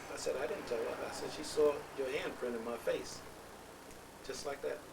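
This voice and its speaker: The speaker has an American accent. The recording carries audible room echo and noticeable background noise. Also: man, moderate pace. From New Rochelle, New York. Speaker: family elder. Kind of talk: family oral history interview. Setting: at a relative's home.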